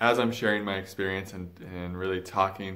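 A man's very deep, low voice, monotone and flat, at a moderate pace over a quiet background. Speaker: spiritual vlogger. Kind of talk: casual vlog chat. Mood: reflective, earnest. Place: home room. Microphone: phone near.

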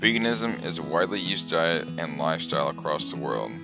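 There is music in the background as a man talks at a fairly quick pace. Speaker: college student. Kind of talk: class presentation narration.

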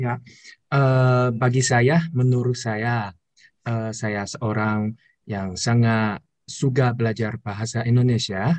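A man with a Chinese accent at a very slow pace, fairly even intonation, and a quiet background. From China. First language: Chinese (speaking Indonesian). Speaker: university student. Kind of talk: video call interview; interview answer. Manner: halting. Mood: friendly, smiling. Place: home room. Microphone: video call.

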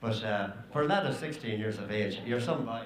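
Lively intonation carries a fairly quick pace over faint background noise. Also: man, fairly low pitch for a man.

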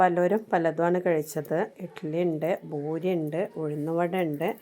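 A woman's voice sits fairly low, with a dark, mellow tone. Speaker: vlogger. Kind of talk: travel vlog narration. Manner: casual, conversational.

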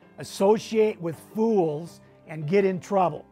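Faint music plays in the background as a man talks at a high pitch with ordinary pitch variation. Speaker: finance course host. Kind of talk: lecture. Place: studio. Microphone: lapel.

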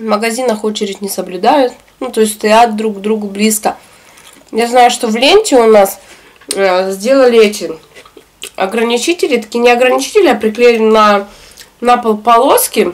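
The speaker keeps a moderate pace with ordinary pitch variation, stopping often for long pauses. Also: woman. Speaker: eating vlogger. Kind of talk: casual vlog chat while eating. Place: home room.

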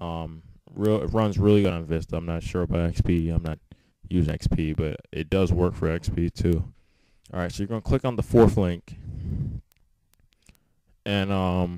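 The dark, mellow voice moves at a moderate pace with fairly even intonation and long, frequent pauses. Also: man, very deep, low pitch for a man. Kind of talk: casual screen-recording tech tutorial. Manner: casual, hesitant with many fillers.

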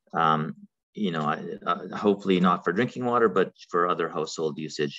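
A man's very deep, low voice with a bright, sharp tone. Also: quiet background. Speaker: webinar presenter. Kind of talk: lecture. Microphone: webcam.

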